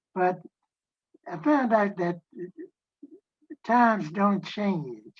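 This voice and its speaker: The voice is somewhat breathy, with an American accent. It moves at a very slow pace. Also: woman, medium pitch for a woman, lively intonation. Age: 90s. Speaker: civil rights leader. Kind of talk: panel discussion. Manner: halting.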